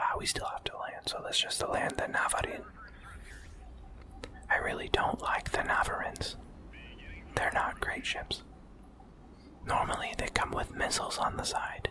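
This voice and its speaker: A man whispers at a moderate pace, leaving long, frequent pauses. Noticeable background noise runs underneath. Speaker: ASMR artist and gaming streamer. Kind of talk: ASMR let's play commentary. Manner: whispered, soft-spoken.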